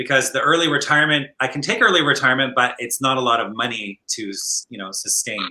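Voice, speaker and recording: A man with a Canadian accent talks very fast at a medium pitch, hardly pausing at all. His pitch varies in an ordinary way while his loudness swings widely. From Scotland. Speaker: flight attendant and online entrepreneur. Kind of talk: interview. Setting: livestream.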